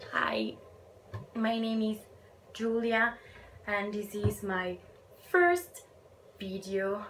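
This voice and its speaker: A woman with an Italian accent, medium pitch and ordinary pitch variation, at a very slow pace with long, frequent pauses. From Italy. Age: 20s. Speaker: book vlogger. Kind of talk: casual vlog talk.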